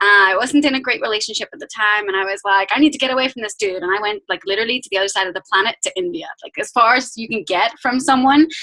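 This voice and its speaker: Talking at a very fast pace with a Northern Irish accent, a woman uses a fairly high pitch with ordinary variation and big swings in loudness, in a dry, close sound with no echo. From Northern Ireland. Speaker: fitness business coach. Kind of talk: team call talk.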